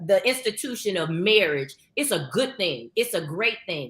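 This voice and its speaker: A loud woman's voice with very wide pitch swings. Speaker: marriage counselor. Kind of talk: casual chat.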